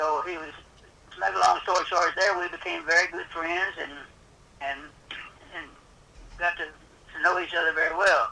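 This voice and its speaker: Noticeable background noise behind a man's voice, moving at a moderate pace. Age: 80s+. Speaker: luthier. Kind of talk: interview answer. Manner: hesitant, repetitive.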